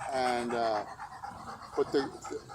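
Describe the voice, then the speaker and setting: Over noticeable background noise, a man with an American accent speaks at a fairly slow pace. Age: 70s. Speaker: local elder. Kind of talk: casual chat.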